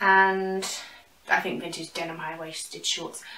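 With a British accent, a woman speaks at a fairly slow pace in an animated tone. Audible room echo surrounds her voice. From UK. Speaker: YouTuber, fashion and thrift haul creator. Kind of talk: casual vlog, try-on haul. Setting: at home, in her room. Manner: chatty, animated, casual. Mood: light, self-joking. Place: home room. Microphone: camera far.

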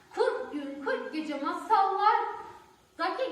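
A woman speaks slowly at an extremely high pitch, her tone fairly bright and her intonation lively. Strong echo fills the room.

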